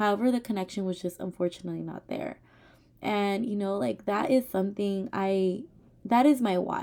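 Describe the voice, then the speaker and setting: A dark, mellow tone at a moderate pace, with ordinary pitch variation. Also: woman. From Richmond, California. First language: Spanish. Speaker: teacher. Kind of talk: oral presentation. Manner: hesitant, many fillers.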